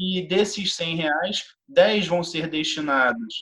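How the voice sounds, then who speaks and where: Here a man speaks at a very slow pace. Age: 30s. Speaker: city council candidate and university lecturer. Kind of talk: interview.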